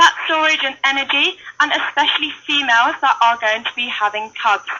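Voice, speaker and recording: Over noticeable background noise, a woman with a British accent and a high voice talks at a moderate pace with ordinary pitch variation. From United Kingdom. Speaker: wildlife centre intern. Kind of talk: live educational talk at animal enclosure.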